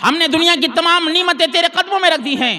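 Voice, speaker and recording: A man talks in a raised, projected voice with noticeable noise in the background. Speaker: Islamic scholar giving a Quran lesson. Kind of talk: religious sermon, weekly Quran lesson. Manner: preaching, storytelling, emphatic.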